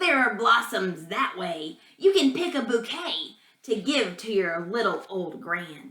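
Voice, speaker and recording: A woman's put-on character voice, with very wide pitch swings and a fairly slow pace. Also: fairly high pitch for a woman. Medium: read story. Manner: sly.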